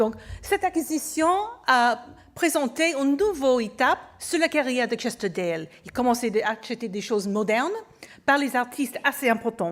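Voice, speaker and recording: This woman's pitch sits fairly high, and her intonation is lively. She keeps a moderate pace. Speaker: museum curator. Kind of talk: conference lecture. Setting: auditorium with audience. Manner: halting, with hesitations.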